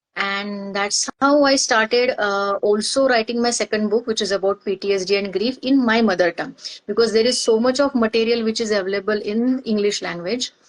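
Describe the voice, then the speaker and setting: A woman talks at a fairly quick pace with hardly any pauses, and the sound is dry and close with no echo. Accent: Marathi Indian. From India, Maharashtra. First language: Marathi. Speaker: organizational psychologist. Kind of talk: interview testimony. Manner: halting, many fillers.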